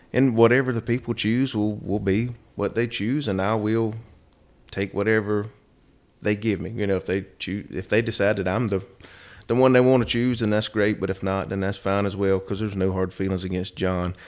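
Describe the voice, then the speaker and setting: A man with an American accent speaks in a normal speaking voice, fairly low in pitch, at a moderate pace with fairly even intonation. The recording is very clean, with a silent background. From US South, Rockingham, North Carolina. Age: 40s. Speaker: state legislator. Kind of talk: interview.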